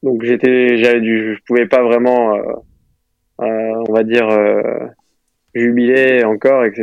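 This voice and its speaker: Speaking very slowly with long, frequent pauses, a man keeps a medium pitch in a flat monotone. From Moselle, north-eastern France. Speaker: professional golfer. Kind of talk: interview. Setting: phone call. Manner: halting.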